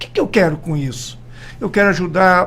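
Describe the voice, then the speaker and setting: This man talks at a high pitch. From Brazil, Mato Grosso do Sul. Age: 70s. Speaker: politician. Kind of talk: radio interview. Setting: radio studio.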